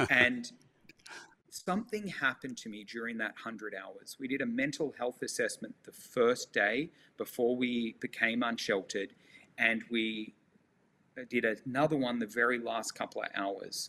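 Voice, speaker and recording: A man's medium-pitched voice with an Australian accent, passionate and bright, sharp in tone, at a moderate pace, with ordinary pitch variation and big swings in loudness. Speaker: nonprofit leader working on homelessness. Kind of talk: interview.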